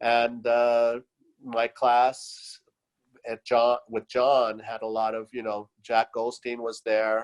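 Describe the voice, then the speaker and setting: At a very slow pace, a man speaks with monotone, flat intonation in a dry, close sound with no echo. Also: medium pitch for a man. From US and Latin America (Venezuela, Chile), California-born. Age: 60s. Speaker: artist. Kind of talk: interview. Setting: video call. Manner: halting, many fillers.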